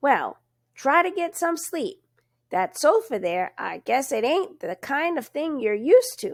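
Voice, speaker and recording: A woman puts on a character voice, pitched high. Her pitch swings very widely. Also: fairly slow pace. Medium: read story. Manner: hesitant, folksy country speech.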